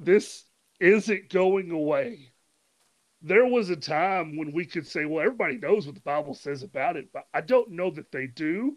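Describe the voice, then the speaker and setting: A high-pitched man at a moderate pace, with lively intonation and big swings in loudness. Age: 30s. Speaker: podcast host. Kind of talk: casual interview; scripted intro monologue.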